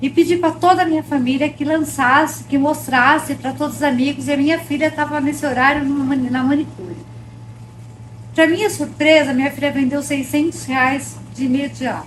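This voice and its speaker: A woman with a high voice speaks at a moderate pace, her intonation fairly even. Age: 60s. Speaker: baking course student. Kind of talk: testimony.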